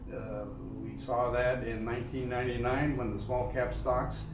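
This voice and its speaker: A man speaks at a very slow pace with noticeable background noise. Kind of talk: market commentary chat. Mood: relaxed, occasional laughs. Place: office.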